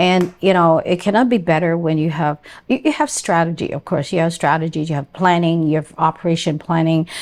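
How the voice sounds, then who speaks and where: A woman with a fairly low pitch and an ordinary speaking voice talks at a fairly quick pace with fairly even intonation. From immigrant to Canada. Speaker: podcast host. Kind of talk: interview.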